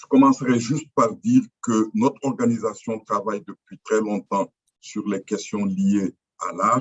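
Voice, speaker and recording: A man talks at a fairly slow pace. His loudness swings widely. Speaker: representative of a cultural foundation. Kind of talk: formal conference statement. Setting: video call. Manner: halting, many fillers.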